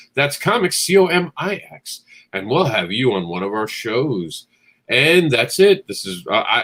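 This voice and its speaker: A man's medium-pitched voice with vocal fry at a fairly slow pace, with very wide pitch swings and big swings in loudness. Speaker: comics show host. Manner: casual, informal.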